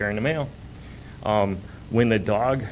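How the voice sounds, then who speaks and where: A man talks at a moderate pace and a medium pitch with ordinary pitch variation, his voice carrying an audible room echo. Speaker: mail carrier bitten by a dog. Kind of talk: testimony at city council meeting. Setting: city council meeting.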